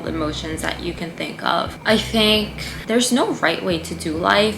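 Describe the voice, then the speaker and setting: Noticeable background noise and audible room echo surround the recording. A woman speaks with ordinary pitch variation. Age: 20s. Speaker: skincare business owner and vlogger. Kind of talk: personal vlog monologue. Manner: animated.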